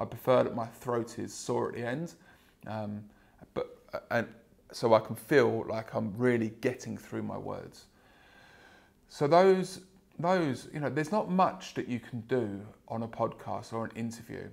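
At a fairly slow pace with long, frequent pauses, a man speaks with vocal fry and lively intonation. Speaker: sales trainer and podcast host; sales trainer, podcast host. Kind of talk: solo podcast monologue. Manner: loud, projecting. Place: home room. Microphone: lapel.

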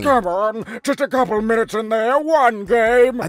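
In a put-on character voice, a man talks at a moderate pace with an extremely high pitch. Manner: flippant, excitable, carefree.

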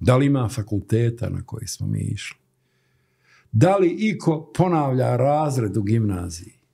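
A man's voice is somewhat breathy with a dark, mellow tone and very wide pitch swings. The background is quiet. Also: moderate pace. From Bosnia and Herzegovina, Stolac; Bosnia and Herzegovina. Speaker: graphic designer; interview guest. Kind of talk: interview. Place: studio. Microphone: studio mic.

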